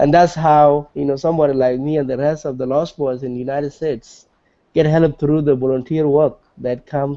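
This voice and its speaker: A man with a South Sudanese accent talks fairly quickly at a fairly high pitch, his intonation fairly even. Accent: South Sudanese (Dinka) English. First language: Dinka. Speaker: nonprofit executive director. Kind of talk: interview.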